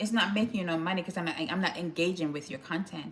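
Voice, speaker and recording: Over noticeable background noise, a woman with a Jamaican accent speaks at a medium pitch. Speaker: lifestyle vlogger. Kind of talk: casual live stream chat. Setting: live stream. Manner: conversational, chatty.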